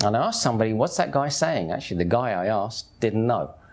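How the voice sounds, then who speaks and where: A man speaks at a fairly quick pace. He has an English accent. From England. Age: 50s. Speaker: convert telling his story. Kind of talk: testimony. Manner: animated.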